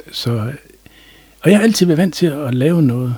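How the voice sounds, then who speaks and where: A dark, mellow tone, somewhat breathy, from a man. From North Jutland, Denmark (Aalbæk). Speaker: general practitioner. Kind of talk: interview. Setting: studio. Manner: calm.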